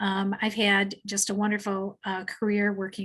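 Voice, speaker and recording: This woman talks at a moderate pace in a medium-pitched, somewhat breathy voice. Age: 60s. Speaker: mental health counselor. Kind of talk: webinar presentation. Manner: halting, many fillers.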